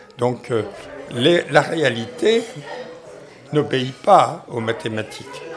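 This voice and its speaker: At a very slow pace, a man speaks at a medium pitch against noticeable background noise. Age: 80s+. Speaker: economics professor. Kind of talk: interview. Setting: café.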